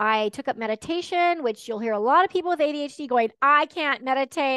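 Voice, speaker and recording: In a quiet, dry, close recording with no echo, a woman with an American accent projects a raised voice at a high pitch, her tone bright and sharp, her pitch variation ordinary and her pace fairly quick. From Texas and Washington State. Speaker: ADHD life coach. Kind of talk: podcast interview.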